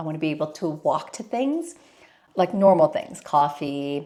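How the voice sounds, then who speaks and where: A fairly slow, very deep, low-pitched woman's voice. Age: 50s. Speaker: life coach. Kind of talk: vlog monologue.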